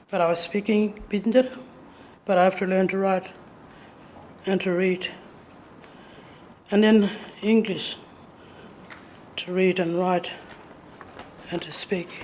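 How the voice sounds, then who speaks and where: A woman speaks at a medium pitch and a fairly slow pace, her flat, monotone delivery broken by long, frequent pauses. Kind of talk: lecture. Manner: halting.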